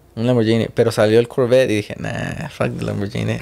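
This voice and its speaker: A fairly quick pace with ordinary pitch variation. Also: man. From Mexico. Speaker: car channel host. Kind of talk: casual interview chat. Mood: relaxed, laughing, storytelling. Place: studio. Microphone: studio mic.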